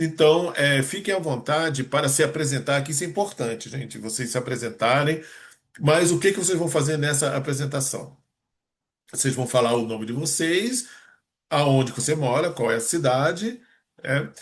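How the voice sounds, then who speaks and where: A somewhat breathy man at a moderate pace, fairly high in pitch with ordinary pitch variation, against a quiet background. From Rio de Janeiro, Brazil. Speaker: meeting host, entrepreneur. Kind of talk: online meeting introduction. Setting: video call.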